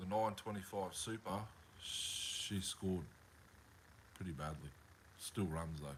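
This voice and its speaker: A fairly slow pace with long, frequent pauses and ordinary pitch variation. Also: man, very deep, low pitch for a man. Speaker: chainsaw restorer live streamer. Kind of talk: casual live stream chat.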